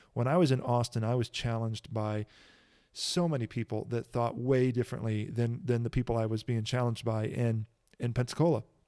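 A man at a fairly quick pace in a dark, mellow tone with fairly even intonation, a dry, close sound with no echo and a very clean recording with a silent background. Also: medium pitch for a man. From US Midwest (Kankakee, Illinois). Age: 30s. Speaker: pastor and podcast host. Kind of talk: solo podcast monologue.

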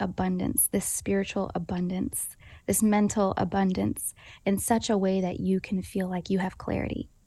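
This woman's voice sits at a medium pitch with monotone, flat intonation. The background is quiet. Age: 20s. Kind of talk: interview.

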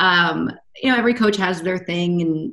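A woman with an American accent speaks at a moderate pace in a medium pitch. Her voice is somewhat breathy, with lively intonation. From North Carolina, US South. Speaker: swim coach. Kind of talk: casual interview.

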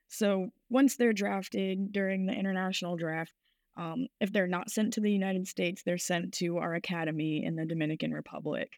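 In a very clean recording with a silent background, a woman with an American accent uses a normal speaking voice at medium pitch, speaking at a fairly quick pace with ordinary pitch variation. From Rhode Island, US. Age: 20s. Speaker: baseball coach. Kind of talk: interview.

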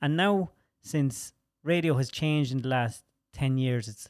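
A man speaks with an Irish accent at a fairly high pitch. His pitch varies in an ordinary way, and the recording is very clean, with a silent background. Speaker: podcast host. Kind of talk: casual chat. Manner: animated.

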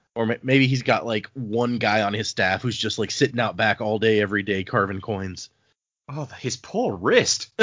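A man with an unremarkable speaking voice talks at a moderate pace, his medium pitch held to a fairly even intonation. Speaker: podcast host. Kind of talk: casual chat.

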